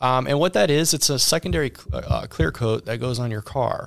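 A man speaks with an American accent at a medium pitch, with ordinary pitch variation. He has an unremarkable speaking voice, on a very clean recording with a silent background. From Ohio. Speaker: auto detailing business owner. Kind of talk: interview. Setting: studio.

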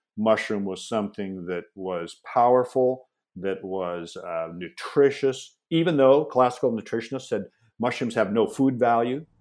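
With an American accent, a man speaks in a plain, everyday voice at medium pitch. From US Pacific Northwest, Seattle. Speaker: mushroom company founder. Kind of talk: interview.

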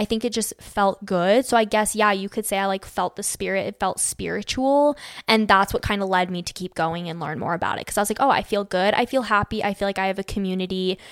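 A woman with a Western US accent talks at a very fast pace with hardly any pauses, a medium pitch and ordinary pitch variation, in a dry, close sound with no echo. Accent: General American, Western US. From Arizona, Phoenix. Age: 20s. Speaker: social media creator. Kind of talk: casual chat.

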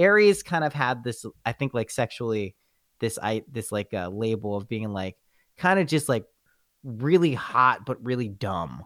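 A man's normal speaking voice at medium pitch, lively intonation and a moderate pace, with a dry, close sound, no echo, and a very clean recording over a silent background. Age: 30s. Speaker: podcast host, guest. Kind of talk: casual chat.

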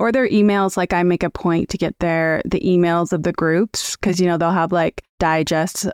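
Using a plain, everyday voice, a woman speaks at a fairly low pitch with fairly even intonation, dry and close with no echo, on a very clean recording with a silent background. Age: 40s. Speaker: career coach. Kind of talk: casual interview.

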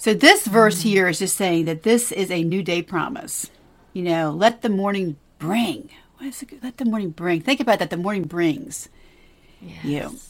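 A woman's medium-pitched voice, enthusiastic and excited, with lively intonation, a moderate pace, big swings in loudness, and a very clean recording over a silent background. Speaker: podcast co-host. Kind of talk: conversational, devotional. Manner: enthusiastic, excited.

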